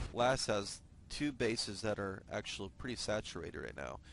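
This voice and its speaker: The speaker uses vocal fry at a moderate pace. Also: man. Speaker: esports shoutcaster. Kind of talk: live game commentary. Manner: stutters at times, many fillers.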